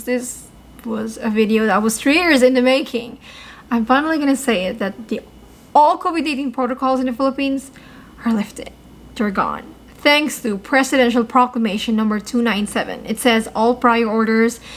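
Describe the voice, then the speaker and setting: Upbeat and fairly quick, a woman with a high pitch and ordinary pitch variation speaks over noticeable background noise. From Philippines. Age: 20s. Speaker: travel news vlogger. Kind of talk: casual news update to camera. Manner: upbeat, chatty.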